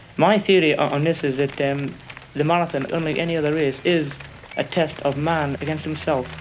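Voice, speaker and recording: Against noticeable background noise, a man with a fairly high pitch speaks at a fairly quick pace with fairly even intonation. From northern England, Morpeth, Northumberland (born Glasgow). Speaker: marathon runner. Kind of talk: interview testimony. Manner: hesitant, many ums and repeats.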